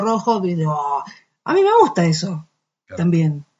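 Words come at a fairly quick pace. There is a somewhat breathy quality throughout. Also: woman. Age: 40s. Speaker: singer. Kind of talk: casual interview. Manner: halting.

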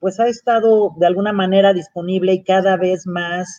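At a moderate pace, a woman of medium pitch speaks in a normal speaking voice with ordinary pitch variation. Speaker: industry association director. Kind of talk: panel discussion.

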